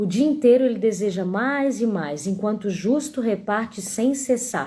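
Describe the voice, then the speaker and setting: A woman's voice is fairly high yet dark and mellow in tone, and somewhat breathy. She speaks at a fairly slow pace with lively intonation. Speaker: Bible teacher. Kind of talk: Bible reading and commentary on a live stream. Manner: animated.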